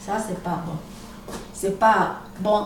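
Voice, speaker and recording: A woman speaks at a medium pitch in a monotone, flat way. Room echo is audible, and background noise is noticeable. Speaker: vlogger. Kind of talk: video monologue. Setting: at home, recording video.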